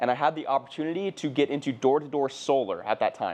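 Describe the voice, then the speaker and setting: This man has a Californian accent and an energetic tone, talking at a very fast pace. His voice is fairly high, and his pitch varies in an ordinary way. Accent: Californian American. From US West Coast, southern California. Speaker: entrepreneur. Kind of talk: personal story monologue. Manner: casual, energetic.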